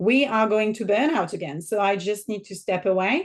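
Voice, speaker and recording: Against a quiet background, a woman talks at a fairly quick pace. She has a French accent and a medium pitch. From southern France. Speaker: business mentor and author. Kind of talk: podcast interview.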